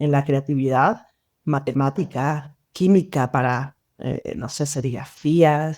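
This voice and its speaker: A woman's very slow speech in a dark, mellow tone, on a very clean recording with a silent background. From Venezuela, Mérida. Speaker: designer. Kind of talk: podcast interview.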